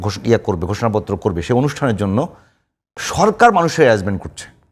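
A man's voice swings very widely in pitch, recorded very cleanly against a silent background. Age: 70s. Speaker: political commentator. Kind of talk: talk show debate.

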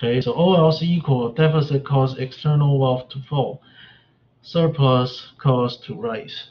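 A man with a somewhat breathy voice speaks at a fairly slow pace in a fairly high pitch, with ordinary pitch variation. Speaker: economics instructor. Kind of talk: lecture. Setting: video call. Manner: halting, many fillers.

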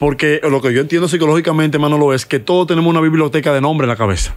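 Against a quiet background, a man with a Dominican accent speaks at a very fast pace. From Dominican Republic. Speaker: musician and comedian; comedian. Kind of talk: casual interview chat. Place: studio. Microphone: studio mic.

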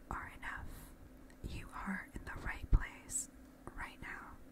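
Whispering comes at a very slow pace. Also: woman. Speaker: ASMR creator. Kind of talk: ASMR positive affirmations with personal attention, addressed to the listener. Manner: soft, reassuring, encouraging. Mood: warm, encouraging. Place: home room. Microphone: studio mic.

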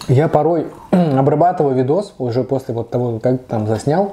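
With light background noise behind him, a man speaks with ordinary pitch variation. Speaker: food vlogger. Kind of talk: casual vlog chat while eating. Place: kitchen. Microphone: camera far.

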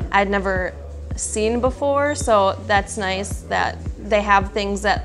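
A woman speaks with an Upper Midwest accent. Clear music plays behind her. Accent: Upper Midwest American. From Wisconsin. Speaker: athletic trainer. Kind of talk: interview answer. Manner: casual, hesitant with filler words. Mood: friendly, relaxed. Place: office. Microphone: lapel.

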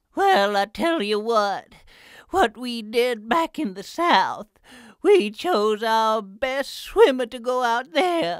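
In a cartoonish character voice that sounds female, a woman speaks at a high pitch and a very slow pace on a very clean recording with a silent background. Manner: drawling, folksy.

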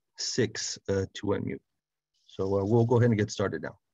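Against a quiet background, a man talks at a fairly slow pace with fairly even intonation in a dry sound with no echo. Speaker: presenter. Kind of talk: presentation. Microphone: video call.

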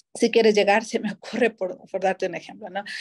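Against a quiet background, a woman with a dark, mellow tone and a fairly high pitch speaks in a monotone, flat way. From Ecuador, El Oro province (Machala), coast. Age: 30s. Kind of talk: interview. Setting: studio. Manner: halting, many fillers. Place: home room. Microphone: video call.

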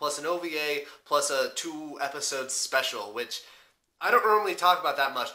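This man talks at a fairly quick pace with ordinary pitch variation. The background is quiet. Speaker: anime reviewer. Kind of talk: casual vlog chat. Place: home room.

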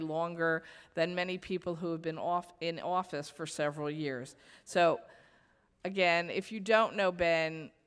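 Against a quiet background, a woman with an ordinary speaking voice talks at a fairly slow pace and a fairly low pitch, her intonation fairly even. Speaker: event emcee. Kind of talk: ceremonial speech. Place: hall. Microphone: podium.

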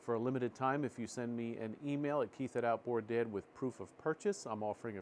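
A man speaks very quickly, with light background noise behind him. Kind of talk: tutorial. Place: workshop. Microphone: lapel.

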